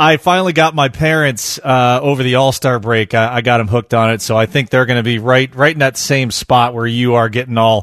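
A man talks in a plain, everyday voice at a medium pitch and a fairly quick pace, with fairly even intonation. The sound is dry and close with no echo, over a quiet background. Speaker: baseball analyst and former pitcher. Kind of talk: casual sports talk, phone interview.

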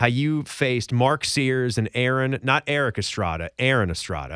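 With an upbeat, energetic tone, a man speaks at medium pitch and a moderate pace on a very clean recording with a silent background and a dry, close sound with no echo. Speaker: college basketball podcast host. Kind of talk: casual sports podcast banter, with radio-style patter. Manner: upbeat, energetic, chatty.

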